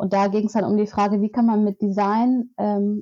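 Over a quiet background, a woman of medium pitch speaks at a moderate pace in a dark, mellow tone, the sound dry and close with no echo. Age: 20s. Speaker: author and climate activist. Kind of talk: interview. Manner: hesitant, many filler sounds.

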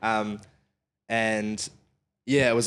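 A man speaks in a medium pitch with a New Zealand accent. The recording is very clean, with a silent background. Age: 20s. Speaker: musician. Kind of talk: casual chat.

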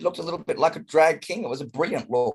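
A man speaks with an Australian accent. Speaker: drag performer. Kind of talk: casual chat. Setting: video call. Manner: loud.

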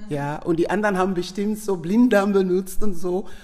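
Someone with a Sierra Leonean accent talks at a fairly slow pace amid noticeable background noise. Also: woman. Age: 50s. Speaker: nurse. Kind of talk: interview.

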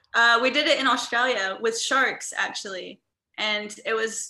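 A woman's bright, sharp tone at a fairly slow pace with ordinary pitch variation. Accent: American. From US Midwest, Indiana. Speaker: travel entrepreneur and digital nomad coach. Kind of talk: casual interview chat.

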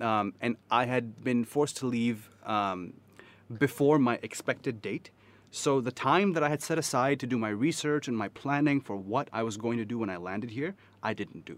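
Heard in a very clean recording with a silent background, a man with an American accent talks at a moderate pace in a medium pitch with ordinary pitch variation. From US South. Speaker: podcast guest. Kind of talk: casual chat. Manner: animated.

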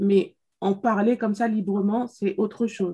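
A woman speaks very slowly in a somewhat breathy voice with monotone, flat intonation. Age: 30s. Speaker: podcast co-host. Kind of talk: casual chat. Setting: video call.

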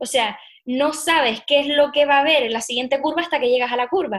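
A woman speaks with ordinary pitch variation. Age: 20s. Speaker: allergy coach and entrepreneur. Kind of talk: interview. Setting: remote recording.

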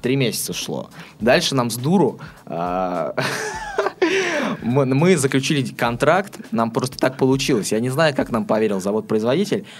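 Noticeable background noise sits behind a man speaking at a fairly slow pace. His pitch swings very widely. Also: medium pitch for a man. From Astrakhan, southern Russia. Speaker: web development and promotion specialist. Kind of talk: interview. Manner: hesitant, frequent filler sounds.

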